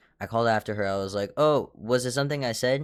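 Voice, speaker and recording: Over a silent background in a very clean recording, a man talks at a fairly quick pace with ordinary pitch variation. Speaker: vlogger. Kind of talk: storytime.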